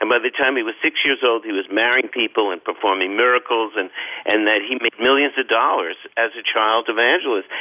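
A man in a New York accent talks at a fairly quick pace. His pitch is medium, with ordinary variation. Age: 70s. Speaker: author and biographer. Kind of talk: radio interview.

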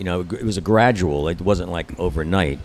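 A man's pitch varies in an ordinary way. Behind him, background noise is noticeable. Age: 70s. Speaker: long-time resort guest. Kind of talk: reminiscing storytelling.

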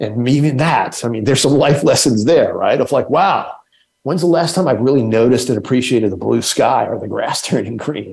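Somewhat breathy and medium in pitch, a man speaks at a fairly quick pace with lively intonation amid audible room echo. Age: 60s. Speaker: human rights nonprofit leader. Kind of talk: interview. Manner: halting, many fillers.

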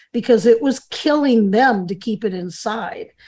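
With an American accent, a woman talks at a fairly slow pace in a dark, mellow tone that is somewhat breathy and fairly high-pitched, with ordinary pitch variation, on a very clean recording against a silent background. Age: 70s. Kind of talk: interview conversation.

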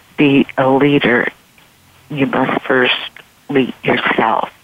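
A woman's very deep, low-pitched voice against noticeable background noise. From San Francisco Bay Area. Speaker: style consultant and former model. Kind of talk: radio interview.

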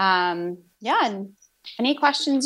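On a very clean recording with a silent background, a woman has a normal speaking voice at medium pitch with ordinary pitch variation. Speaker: pediatric physical therapist. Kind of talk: interview conversation.

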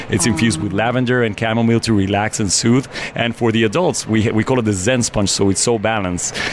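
Through noticeable background noise, a man talks very fast at a medium pitch, with ordinary pitch variation and very even loudness. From Mexico City. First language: Spanish. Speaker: business owner. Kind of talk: interview.

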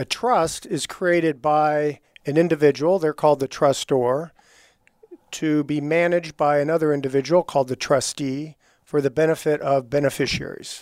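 A man with a normal speaking voice talks at a moderate pace and fairly high pitch. The sound is dry and close with no echo, in a very clean recording with a silent background. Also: fairly even intonation. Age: 60s. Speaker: estate attorney. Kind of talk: interview.

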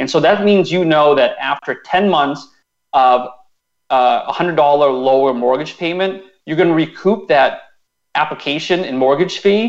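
Here is a man with an ordinary speaking voice, fairly high in pitch, talking at a moderate pace with ordinary pitch variation. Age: 30s. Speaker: personal finance blogger. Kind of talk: radio interview.

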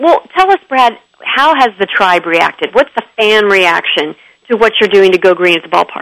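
An enthusiastic, animated woman at a medium pitch, lively in intonation and moderate in pace, with very even loudness and a dry, close sound free of echo. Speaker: radio host. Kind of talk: radio DJ patter, upbeat chatty broadcast banter. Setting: radio studio broadcast.

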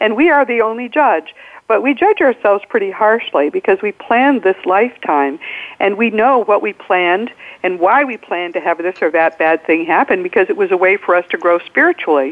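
Noticeable background noise sits behind a woman at a medium pitch. She talks at a fairly quick pace with lively intonation. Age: 70s. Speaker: attorney and afterlife author. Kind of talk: interview. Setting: phone call.

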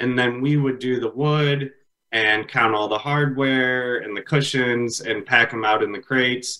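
The tone is bright and sharp. Delivery is fairly slow, with fairly even intonation. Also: man, medium pitch for a man. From US Midwest, Illinois (Palatine). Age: 30s. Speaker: furniture business owner. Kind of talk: interview.

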